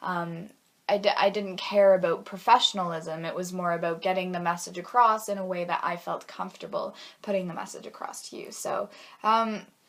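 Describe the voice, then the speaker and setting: Delivering her words at a fairly quick pace, a woman keeps a monotone, flat intonation. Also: medium pitch for a woman, big swings in loudness. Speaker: university student. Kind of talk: class assignment video monologue. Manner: hesitant, many fillers.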